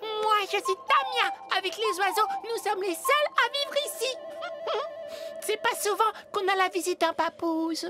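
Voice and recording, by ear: A cartoonish character voice pitched extremely high, moving at a moderate pace. Long pauses come often, with clear music in the background.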